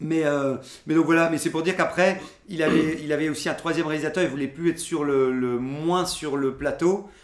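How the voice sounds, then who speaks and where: Noticeable background noise behind a man's fairly high voice, fairly quick pace and fairly even intonation. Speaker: podcast host. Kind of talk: casual chat. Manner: halting, many filler words.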